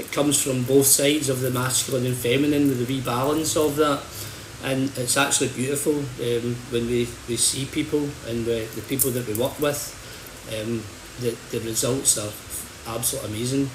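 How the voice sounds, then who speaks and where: Delivered with a Scottish accent, the speech comes at a moderate pace with monotone, flat intonation. Noticeable background noise and audible room echo fill the recording. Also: man, medium pitch for a man. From Scotland, Hamilton. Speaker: holistic bodyworker and healer. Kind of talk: livestream talk. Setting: social media livestream. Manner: halting, repeats words.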